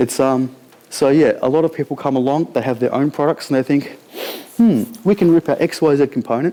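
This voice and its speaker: In an Australian accent, a man talks at a fairly quick pace with a fairly high pitch, ordinary pitch variation and very even loudness. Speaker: conference speaker. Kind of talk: conference talk. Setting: stage with audience. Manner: fast; casual.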